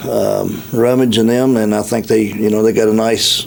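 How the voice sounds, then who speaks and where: Fairly quick, monotone American-accented speech with flat intonation over noticeable background noise. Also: man. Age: 60s. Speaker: county executive official. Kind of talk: radio interview. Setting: radio studio. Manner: halting, many fillers.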